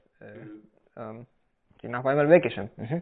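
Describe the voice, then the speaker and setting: A man with a Spanish accent. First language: Spanish (speaking German). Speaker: coffee producer and roaster. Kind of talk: casual interview. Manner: halting, many fillers.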